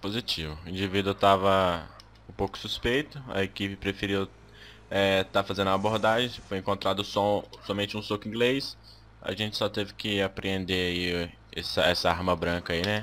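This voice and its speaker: On a very clean recording with a silent background, a normal speaking voice moves at a moderate pace with fairly even intonation. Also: man, fairly low pitch for a man. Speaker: gaming YouTuber. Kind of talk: gameplay commentary with roleplay.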